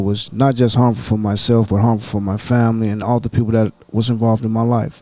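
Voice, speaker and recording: At a fairly quick pace, a man speaks at a medium pitch with a monotone, flat intonation. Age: 60s. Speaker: podcast guest in recovery. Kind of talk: interview.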